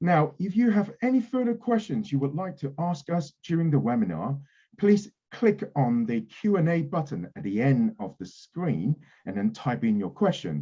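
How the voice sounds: A man's dark, mellow tone moves through big pitch swings. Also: fairly high pitch for a man, moderate pace.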